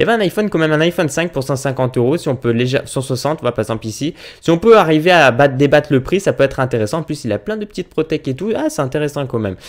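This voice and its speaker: Against a quiet background, a man talks at a very fast pace with hardly any pauses. His pitch is fairly high and his intonation lively. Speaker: YouTuber; youtuber. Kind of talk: casual tutorial vlog. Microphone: webcam.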